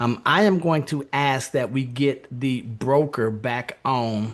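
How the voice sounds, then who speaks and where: A man speaks at a medium pitch with ordinary variation in his pitch. Noticeable background noise can be heard. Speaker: podcast host. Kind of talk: interview.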